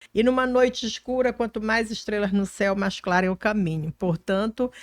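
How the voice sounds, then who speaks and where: A woman speaks in a normal speaking voice, fairly high in pitch with ordinary pitch variation, at a moderate pace. The recording is very clean with a silent background, and the sound is dry and close with no echo. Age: 60s. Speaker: politician. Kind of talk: podcast interview.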